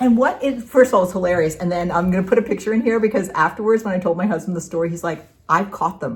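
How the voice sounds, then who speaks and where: A woman rushes along at a very fast pace with hardly any pauses, her medium-pitched voice somewhat breathy. Her intonation is lively. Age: 60s. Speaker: craft video co-host, retired middle school teacher. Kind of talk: casual chat.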